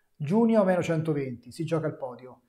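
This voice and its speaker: Against a quiet background, a man speaks at a fairly high pitch with a dark, mellow tone. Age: 30s. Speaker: fitness coach and youtuber; fitness coach. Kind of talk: live stream Q&A. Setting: live stream. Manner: casual. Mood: animated, opinionated. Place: gym.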